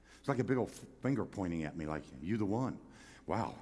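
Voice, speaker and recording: Very fast, animated speech from a man with vocal fry and lively intonation, plus audible room echo. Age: 70s. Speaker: pastor. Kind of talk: sermon.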